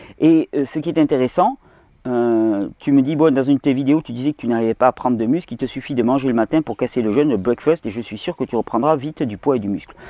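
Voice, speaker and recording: Very fast pace in a southern French accent, with ordinary pitch variation. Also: man, medium pitch for a man. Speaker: health video host. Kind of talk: video Q&A monologue.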